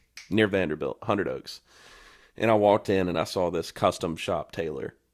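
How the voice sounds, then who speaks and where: A man with a Southern accent talks at a fairly quick pace on a very clean recording with a silent background. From North Carolina. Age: 20s. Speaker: country singer. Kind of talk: casual chat.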